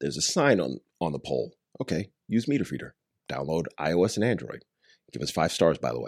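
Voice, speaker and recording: Delivered at a fairly quick pace, the voice swings very widely in pitch and has vocal fry. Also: man, very deep, low pitch for a man. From Long Island, New York. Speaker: startup founder. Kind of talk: casual interview chat.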